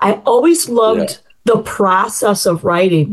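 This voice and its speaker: At a fairly slow pace, a woman with an American accent talks in an unremarkable speaking voice, medium in pitch and lively in intonation. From US Midwest, Chicago suburbs. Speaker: novelist. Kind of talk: interview.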